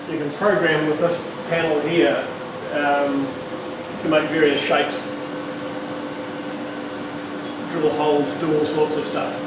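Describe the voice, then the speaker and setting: There is loud background noise and audible room echo as a man speaks at a fairly slow pace with long, frequent pauses. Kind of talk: informal explanation to camera. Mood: relaxed, friendly. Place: workshop. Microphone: camera far.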